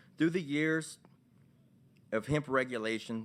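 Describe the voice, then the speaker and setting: In a very clean recording with a silent background, a man with a Louisiana accent talks at a fairly quick pace with ordinary pitch variation. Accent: Louisiana local. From Louisiana, Vermilion Parish (Abbeville). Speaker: hemp store owner. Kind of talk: testimony. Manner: halting.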